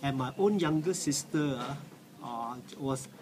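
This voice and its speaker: Noticeable background noise behind a man's fairly high voice. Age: 60s. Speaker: cancer survivor. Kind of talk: testimony. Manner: halting, many fillers.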